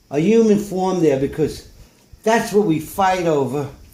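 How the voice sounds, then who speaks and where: Amid audible room echo, a man with a high pitch and a dark, mellow tone talks at a moderate pace. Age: 70s. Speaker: painter. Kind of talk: casual talk about own paintings. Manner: halting.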